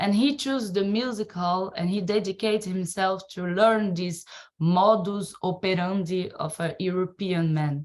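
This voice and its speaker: Speaking at a fairly slow pace, a woman with a Brazilian accent uses a medium pitch and ordinary pitch variation. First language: Portuguese. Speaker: circus and dance artist, researcher. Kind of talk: presentation. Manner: halting.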